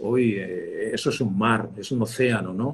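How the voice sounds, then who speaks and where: A man's somewhat breathy voice at a medium pitch. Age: 60s. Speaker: communication expert, former broadcast journalist. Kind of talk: interview. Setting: video call. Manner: halting, with frequent repetitions and fillers.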